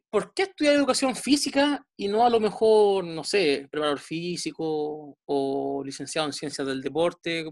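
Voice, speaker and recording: A woman with a Chilean accent, fairly slow in pace, her pitch swinging very widely. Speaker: podcast host, sports science page creator. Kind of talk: casual interview chat.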